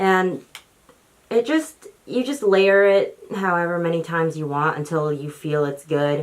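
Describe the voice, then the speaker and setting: Talking at a fairly slow pace, a woman with a normal speaking voice has a fairly low pitch and lively intonation. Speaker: beauty YouTuber. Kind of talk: makeup tutorial.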